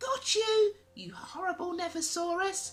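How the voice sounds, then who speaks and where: A put-on character voice, squeaky and extremely high, speaks at a moderate pace with music in the background. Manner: growling, triumphant.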